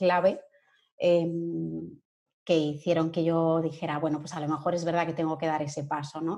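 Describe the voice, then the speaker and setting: Very slowly, a woman speaks with a fairly low pitch and a dark, mellow tone. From Catalonia, Spain (Sabadell, Barcelona). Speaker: human resources and employer branding consultant. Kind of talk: interview.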